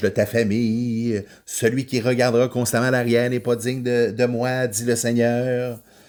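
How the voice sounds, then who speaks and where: Medium-pitched male speech, very clean recording, silent background. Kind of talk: podcast monologue on faith. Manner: loud; hesitant, many filler words.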